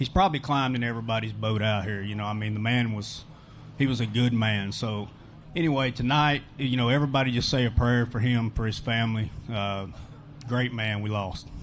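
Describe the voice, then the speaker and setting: A man speaks with an American accent and an ordinary speaking voice, at medium pitch. His pace is fairly quick and his intonation fairly even. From Texas. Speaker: pro bass angler. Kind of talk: post-event interview.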